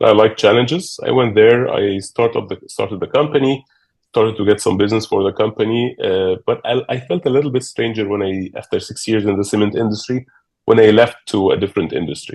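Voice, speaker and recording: Medium pitch from a man with an Arabic accent, a fairly quick pace and ordinary pitch variation. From Egypt. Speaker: business executive. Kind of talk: interview. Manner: halting, many fillers.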